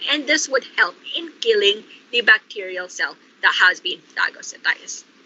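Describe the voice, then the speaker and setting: Her intonation lively, a woman keeps a moderate pace while background noise is noticeable. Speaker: lecturer. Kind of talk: online lecture. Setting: online class.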